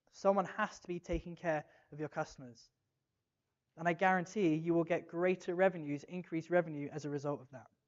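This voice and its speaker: An English accent at a fairly quick pace. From England. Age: 30s. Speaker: conference speaker. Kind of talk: keynote talk. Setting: stage with audience. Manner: animated.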